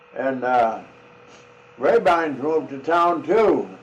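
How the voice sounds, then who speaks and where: Very slow, fairly high-pitched speech from a man with an American accent, over noticeable background noise. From South Dakota, USA. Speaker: farmer. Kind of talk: reminiscing storytelling. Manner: slow, halting.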